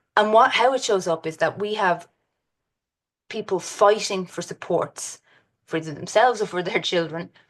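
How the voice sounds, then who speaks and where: Woman at a medium pitch with ordinary pitch variation and long, frequent pauses, music in the background. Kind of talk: presentation with slides. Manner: fast.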